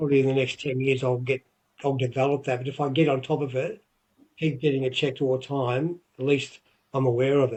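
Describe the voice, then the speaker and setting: A man with an Australian accent, medium in pitch, somewhat breathy, fairly quick in pace and monotone, flat in intonation. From Australia, Victoria. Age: 60s. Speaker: retired wrestler and wrestling promoter. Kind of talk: interview. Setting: podcast.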